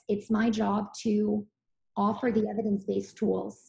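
A woman's somewhat breathy voice, medium in pitch, with a dark, mellow tone, monotone, flat intonation and a fairly slow pace. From Serbia. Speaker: physician. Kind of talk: interview.

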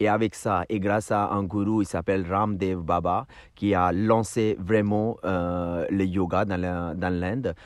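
A man's very deep, low voice at a very slow pace, with fairly even intonation. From India. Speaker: yoga teacher. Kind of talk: casual chat. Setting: outdoors. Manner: halting.

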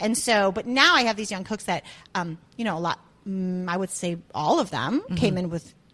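A woman speaks with an American accent in an unremarkable speaking voice at a medium pitch. Her pace is moderate and her pitch varies in an ordinary way. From US Midwest, Chicago area. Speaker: chef and restaurant owner. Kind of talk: casual chat.

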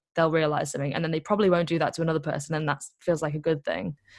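A woman with an English accent, a fairly low pitch and fairly even intonation, against a quiet background. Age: 20s. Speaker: activist and author. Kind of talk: interview.

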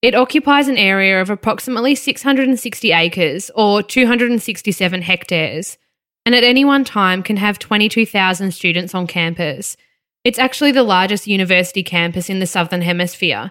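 A woman with an Australian accent talks at a fairly quick pace and medium pitch, with lively intonation and a bright, sharp tone. The recording is very clean, with a silent background. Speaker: true crime podcast co-host. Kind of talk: scripted true crime narration.

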